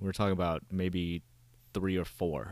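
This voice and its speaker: In a very clean recording with a silent background, an unremarkable speaking voice with an American accent moves at a moderate pace. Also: man. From United States, arrived from Vietnam as child refugee. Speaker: Navy veteran touring the country hosting dinners. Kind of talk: casual interview.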